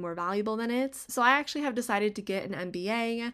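Talking at a fairly quick pace, a woman with an American accent uses a normal speaking voice with ordinary pitch variation, on a very clean recording with a silent background. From US West, Las Vegas, Nevada. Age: 20s. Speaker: podcast host. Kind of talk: casual solo monologue.

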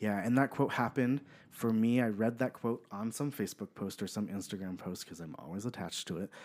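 On a very clean recording with a silent background, a man with an American accent speaks at a fairly quick pace. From Southern California, Apple Valley. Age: 30s. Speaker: podcast guest. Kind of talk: casual interview. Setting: studio.

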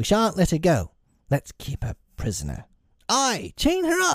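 Over a silent background in a very clean recording, a man does a put-on character voice, high-pitched with very wide pitch swings and a dry, close sound with no echo. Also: fairly slow pace.

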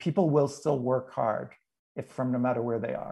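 Somewhat breathy, a man speaks. The background stays quiet. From New England. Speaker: leadership expert and author. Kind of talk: interview conversation.

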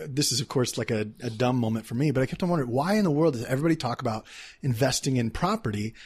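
Over a silent background in a very clean recording, a man with an American accent speaks at a medium pitch, somewhat breathy, with ordinary pitch variation. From Texas, Dallas. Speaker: entrepreneur. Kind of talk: casual interview. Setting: in person.

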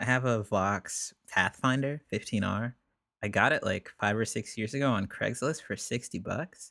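A man speaks at a moderate pace with a medium pitch, a bright, sharp tone and ordinary pitch variation. The recording is very clean with a silent background, and the sound is dry and close with no echo. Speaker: singer-songwriter. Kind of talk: casual chat.

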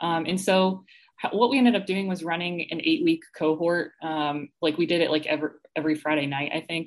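With an American accent and a normal speaking voice, a woman talks at a fairly quick pace in a fairly low pitch. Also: ordinary pitch variation. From Atlanta, US South. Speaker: physical therapist. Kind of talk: casual interview chat.

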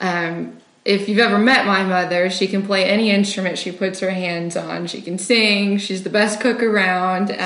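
A woman talks at a moderate pace with hardly any pauses, using medium pitch and monotone, flat intonation over noticeable background noise. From Walkerton. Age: 20s. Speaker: pastor's child, finance worker. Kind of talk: interview testimony. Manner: frequent fillers.

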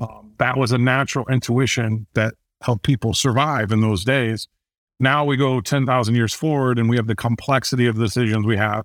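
A man with an American accent talks at a fairly quick pace with very even loudness and fairly even intonation, on a very clean recording with a silent background and a dry, close sound with no echo. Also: medium pitch for a man. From Indiana, US Midwest. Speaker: author and business adviser. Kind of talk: interview conversation.

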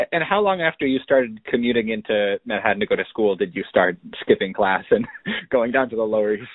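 Using a normal speaking voice, a man talks at a fairly quick pace with a fairly low pitch. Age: 20s. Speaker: podcast interviewer. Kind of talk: interview. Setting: phone call.

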